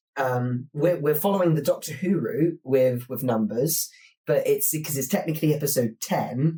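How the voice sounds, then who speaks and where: Somewhat breathy and fairly high for a man, his voice carries a dark, mellow tone. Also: ordinary pitch variation, moderate pace. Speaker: podcast host. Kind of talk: casual chat. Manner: hesitant, with fillers.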